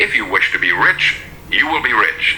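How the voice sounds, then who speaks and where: A man talks at a moderate pace in an American accent, with noticeable background noise present. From United States. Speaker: radio broadcaster and motivational speaker. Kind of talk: motivational speech.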